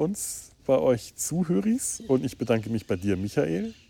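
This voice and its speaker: Speaking at a very slow pace, a man has a dark, mellow tone. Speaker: podcast host. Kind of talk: casual chat. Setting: outdoors on a riverside meadow. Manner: halting, many fillers and repeats.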